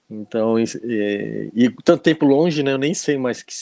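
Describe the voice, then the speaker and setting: Over a quiet background, a man talks at a moderate pace with a dark, mellow tone and ordinary pitch variation, the sound dry and close with no echo. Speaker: speaker on temperaments. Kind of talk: casual interview.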